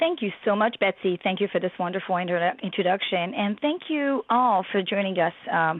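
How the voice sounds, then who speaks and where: Fairly quick speech in a French accent with lively intonation, hardly any pauses and very even loudness. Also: woman, medium pitch for a woman. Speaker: professor and researcher. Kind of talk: webinar presentation.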